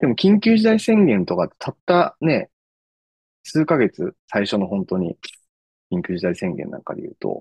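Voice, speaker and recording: A man speaks at a fairly slow pace with a fairly high pitch. His pitch swings very widely, and the sound is dry and close with no echo. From Japan, Aichi Prefecture. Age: 40s. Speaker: startup founder. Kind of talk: casual interview.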